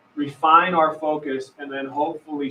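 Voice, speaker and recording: Noticeable background noise accompanies talking at a moderate pace. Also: man. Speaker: school district superintendent. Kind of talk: presentation at public meeting. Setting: public meeting with microphone. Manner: loud.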